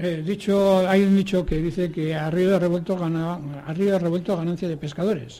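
A man with a high-pitched, dark, mellow tone speaks at a fairly slow pace with fairly even intonation. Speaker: radio show presenter and moderator. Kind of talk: moderated radio panel chat.

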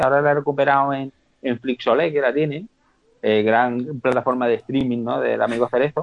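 This man has a plain, everyday voice and talks at a fairly quick pace. His medium pitch shows ordinary variation. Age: 40s. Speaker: podcast guest, film fan. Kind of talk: casual chat.

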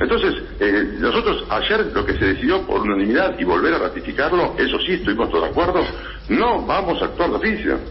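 This man speaks at a fairly quick pace. There's audible room echo and noticeable background noise. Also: very even loudness. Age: 60s. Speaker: sports disciplinary tribunal president. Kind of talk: radio interview.

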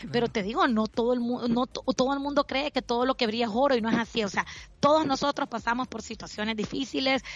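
A woman with a Honduran accent, high-pitched and very fast. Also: ordinary pitch variation. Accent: Honduran Spanish with voseo. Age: 40s. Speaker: financial advisor. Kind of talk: interview.

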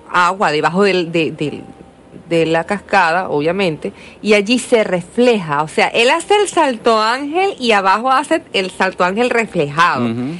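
This woman talks rather slowly, at a mid-range pitch. Her voice swings across a very wide range. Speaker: radio host. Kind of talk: radio interview. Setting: radio studio.

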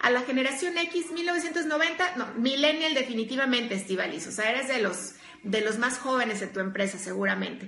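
With hardly any pauses and at a moderate pace, a woman speaks in an animated tone, her high pitch making very wide swings, amid audible room echo and noticeable background noise. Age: 40s. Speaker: workplace coach and speaker. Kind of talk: live stream talk.

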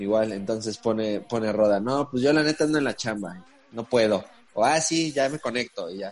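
A man speaks at a moderate pace with a Mexican accent. His pitch varies in an ordinary way. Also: medium pitch for a man. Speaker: podcast host. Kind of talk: casual chat.

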